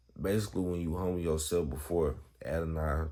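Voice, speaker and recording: A man's very deep, low voice carries a dark, mellow tone, with audible room echo around it. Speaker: Bible vlogger. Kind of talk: casual Bible talk. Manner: casual, halting.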